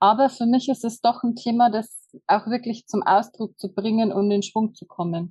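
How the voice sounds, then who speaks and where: A woman with a fairly high, somewhat breathy voice talks with hardly any pauses, her loudness swinging widely. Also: fairly even intonation, moderate pace. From Bavarian Forest, Germany. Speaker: hotel manager and human design practitioner. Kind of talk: casual interview.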